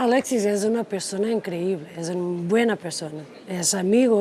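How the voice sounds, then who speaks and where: A woman's medium-pitched voice at a moderate pace, with ordinary pitch variation and noticeable background noise. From Portugal. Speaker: politician. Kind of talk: interview. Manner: soft-spoken; halting.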